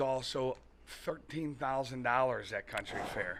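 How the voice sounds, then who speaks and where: A man with an American accent at a very slow pace. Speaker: furniture and mattress store owner. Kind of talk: podcast interview answer. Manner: casual, chatty.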